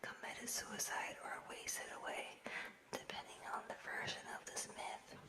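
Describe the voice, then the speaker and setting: Whispering comes at a fairly slow pace over noticeable background noise. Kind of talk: nonfiction book reading. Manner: whispered.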